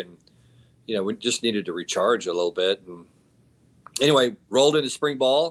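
Speaking at a fairly quick pace, a man with a Texan accent uses a medium pitch. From Texas. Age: 50s. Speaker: college football head coach. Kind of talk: casual interview.

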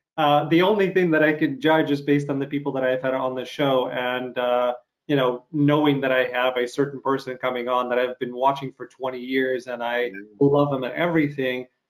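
Fairly quick, fairly even speech from a medium-pitched man with a slight Canadian accent. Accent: slight Canadian touches. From Ukraine. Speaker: podcast host interviewing actors. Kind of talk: casual interview.

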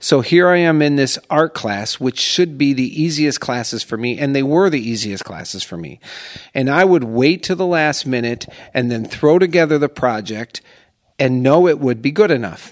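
A plain, everyday voice with an American accent and lively intonation speaks at a moderate pace against a quiet background. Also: man, fairly high pitch for a man. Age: 50s. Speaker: senior portrait photographer. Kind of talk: casual interview chat. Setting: recording in a condo.

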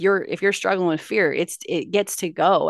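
A woman speaks at a very fast pace with an animated tone in a Californian accent. The sound is dry and close, without echo. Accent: General American (Californian). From Los Angeles, California. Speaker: motivational speaker and success coach. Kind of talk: casual interview chat. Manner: animated, laughs often.

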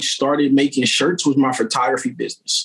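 A man with an American accent talks in a normal speaking voice with lively intonation. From Wilmington, Delaware, US. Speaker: t-shirt print shop owner. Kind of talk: casual podcast interview. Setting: kitchen at home, video call.

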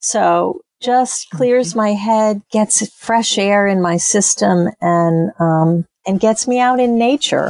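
Woman at medium pitch and a very slow pace, hardly any pauses, ordinary pitch variation, very even loudness, dry, close sound with no echo. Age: 60s. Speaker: textile artist and small business owner. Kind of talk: interview.

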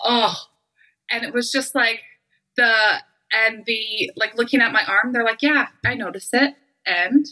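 The tone is bright and sharp, with ordinary pitch variation. Delivery is fairly slow, broken by long, frequent pauses. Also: woman, fairly high pitch for a woman. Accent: Western Canadian. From Canada. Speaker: intimacy coach. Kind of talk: casual chat.

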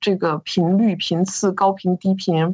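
A woman with a slight northeastern Chinese accent speaks at a medium pitch. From Northeast China. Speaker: business founder and CEO. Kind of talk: interview.

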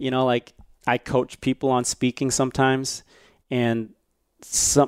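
A man talks in a normal speaking voice with an American accent. The sound is dry and close, with no echo. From US, Chinese American family. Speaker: violinist and speaker. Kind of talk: casual interview chat.

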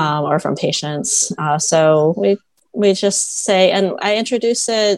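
She speaks at a very slow pace. The woman has an American accent. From US Midwest, Toledo, Ohio. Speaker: dermatologist. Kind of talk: interview.

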